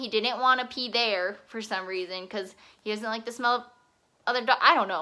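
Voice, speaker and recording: A woman in a bright, sharp tone at a fairly quick pace, in a very clean recording with a silent background. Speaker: vlogger. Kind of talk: casual storytelling vlog. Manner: fast; chatty, filler-heavy.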